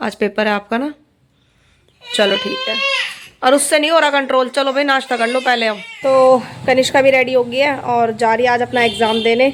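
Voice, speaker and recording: A woman speaks in a high voice. Her pace is moderate and her intonation fairly even. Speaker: vlogger and mother. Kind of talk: casual vlog narration. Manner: soft-spoken.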